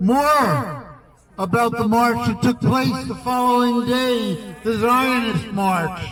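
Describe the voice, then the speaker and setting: A man with an American accent speaks at an extremely high pitch, very slowly and with ordinary pitch variation. Noticeable background noise and audible room echo fill the recording. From US, New York. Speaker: anti-war activist. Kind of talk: protest rally speech.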